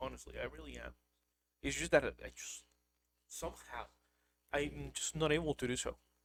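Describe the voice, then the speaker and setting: Speaking at a fairly quick pace, a man leaves long, frequent pauses, and his loudness swings widely. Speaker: vtuber streamer. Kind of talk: casual livestream chat. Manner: monotone; deadpan.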